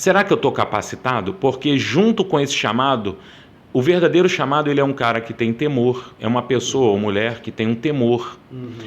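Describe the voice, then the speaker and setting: At a fairly quick pace, a man with an unremarkable speaking voice at medium pitch uses lively intonation. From Rio de Janeiro, Brazil. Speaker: Baptist pastor. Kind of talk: interview answer.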